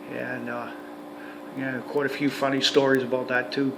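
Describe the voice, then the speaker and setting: A man at medium pitch with a western Canadian accent, amid audible room echo and noticeable background noise. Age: 60s. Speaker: retired heavy-duty mechanic and RV vlogger. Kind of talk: casual vlog monologue. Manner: halting, many fillers and repetitions.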